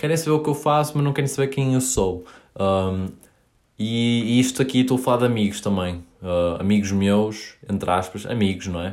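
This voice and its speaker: A man with a medium-pitched voice speaks at a moderate pace with lively intonation. The recording is very clean, the background silent. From northern Portugal, Paços de Ferreira. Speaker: podcaster. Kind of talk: solo podcast monologue. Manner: hesitant, many fillers.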